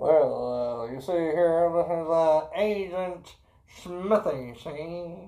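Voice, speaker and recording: In a put-on character voice of middle pitch, the speaker goes at a very slow pace. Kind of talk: old-timey. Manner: comedic bit.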